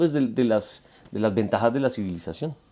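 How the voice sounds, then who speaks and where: A man speaks with a Bogotá accent in a dark, mellow tone at a moderate pace. The recording is very clean, with a silent background. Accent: Bogotá Colombian Spanish. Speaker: musician. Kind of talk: interview. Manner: halting, many repetitions.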